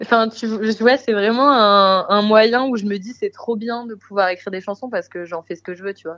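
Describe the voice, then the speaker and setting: With a quiet background behind it, a normal speaking voice proceeds at a moderate pace, its pitch varying in an ordinary way. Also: woman. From Marseille, southern France. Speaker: singer-songwriter. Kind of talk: casual interview chat.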